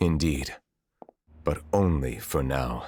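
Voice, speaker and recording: A put-on character voice from a man, pitched very deep and low. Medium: short film. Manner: formal, grave.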